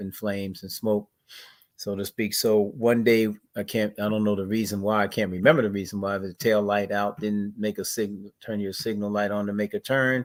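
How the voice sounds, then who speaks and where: Over a silent background in a very clean recording, a man with an American accent speaks at a fairly quick pace in a flat monotone, his pitch fairly low. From US Northeast, Plainfield, New Jersey. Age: 60s. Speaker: activist. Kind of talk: interview.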